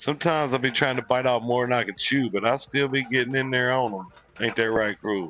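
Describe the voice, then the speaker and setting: With a Southern US accent, the speaker talks at a fairly quick pace with ordinary pitch variation over noticeable background noise. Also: man, medium pitch for a man. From US South. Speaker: gaming streamer. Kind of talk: live stream gameplay commentary. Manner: casual, relaxed.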